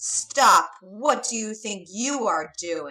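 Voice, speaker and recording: Growling and loud, a woman puts on a character voice at a fairly high pitch. She speaks at a very slow pace. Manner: shouting, angry, accusing.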